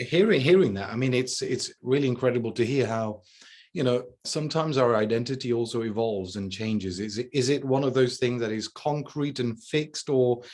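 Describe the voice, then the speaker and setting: A man with an English accent speaks at a medium pitch. His pace is fairly quick and his pitch variation ordinary. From England. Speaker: podcast host. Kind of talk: interview conversation.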